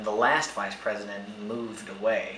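Audible room echo and light background noise surround speech delivered at a moderate pace. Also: man. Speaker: actor playing an undercover investigator. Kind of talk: mockumentary interview answer. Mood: serious, slightly nervous. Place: home room.

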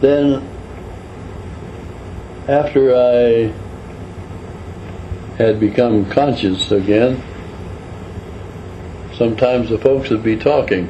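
A man with medium pitch and fairly even intonation speaks at a very slow pace over noticeable background noise. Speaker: retired truck driver recounting his life. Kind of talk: casual reminiscence / personal storytelling to camera. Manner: slow, conversational, with pauses and hesitations.

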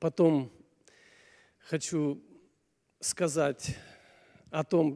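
A man's dark, mellow, fairly high voice carries fairly even intonation.

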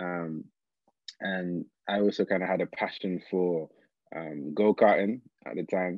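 A man with a very deep, low pitch, dry sound with no echo, quiet background. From South London, England; London. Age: 20s. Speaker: engineer and social entrepreneur; guest. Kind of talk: interview. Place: home room. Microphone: video call.

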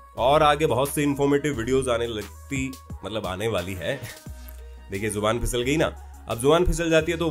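A man talks at a moderate pace with lively intonation. Faint music plays in the background. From Jaipur, Rajasthan, India. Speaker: voice over artist and theatre artist. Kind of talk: casual explainer talk to camera. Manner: friendly, conversational. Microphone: studio mic.

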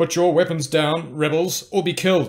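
Using a put-on character voice, a man speaks at a moderate pace with a high pitch and monotone, flat intonation. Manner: commanding, threatening.

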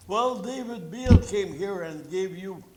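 A man's high-pitched voice, varying in pitch in an ordinary way, carries audible room echo and noticeable background noise. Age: 80s+. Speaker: senior citizen delegate presenting to council. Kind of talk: public delegation at council meeting. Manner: halting, repetitive.

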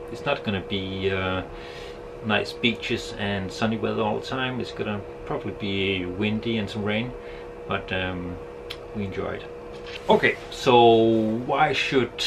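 Noticeable background noise sits under a man speaking at a fairly slow pace. He leaves long, frequent pauses. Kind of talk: casual vlog chat. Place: boat. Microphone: phone near.

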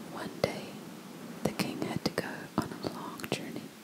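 The speaker is a woman in a whisper. Her delivery is fairly slow. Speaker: ASMR creator. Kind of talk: fairy tale reading. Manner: whispered. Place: home room. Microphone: studio mic.

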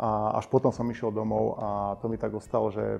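Male speech at a moderate tempo. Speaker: interview guest. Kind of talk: interview answer. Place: studio.

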